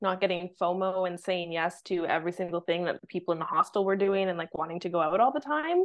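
With a Canadian accent, a woman speaks in a plain, everyday voice at medium pitch with ordinary pitch variation. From Vancouver, Canada. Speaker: content repurposing agency owner, marketing mentor. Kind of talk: casual interview chat.

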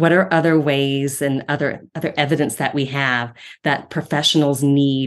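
A woman with an American accent, a very deep, low pitch and fairly even intonation. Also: quiet background. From Ohio, US Midwest. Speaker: speech-language pathology professor. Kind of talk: interview conversation.

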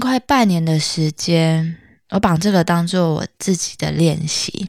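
A woman's fairly low voice at a very slow pace with ordinary pitch variation, dry, close sound with no echo, and a very clean recording with a silent background. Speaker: podcast host. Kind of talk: casual monologue.

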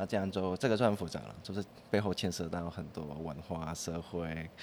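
A man with a Cantonese accent, at a moderate pace. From Hong Kong. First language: Cantonese (speaking Chinese). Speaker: composer. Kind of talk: casual interview chat.

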